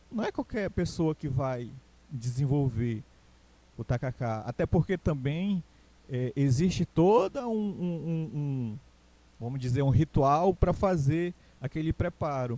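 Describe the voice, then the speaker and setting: Speaking with a Pará accent at a very slow pace with long, frequent pauses, a man uses a fairly high pitch, a dark, mellow tone and lively intonation, recorded with a dry, close sound and no echo. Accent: Castanhal Pará. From Pará, Brazil (Castanhal). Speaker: teacher. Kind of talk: recorded online lecture. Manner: hesitant, many fillers.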